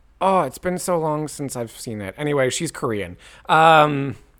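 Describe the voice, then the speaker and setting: Against a silent background on a very clean recording, a man with a normal speaking voice talks at a moderate pace, his fairly high pitch carried by lively intonation. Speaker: podcast co-host. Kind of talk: casual chat.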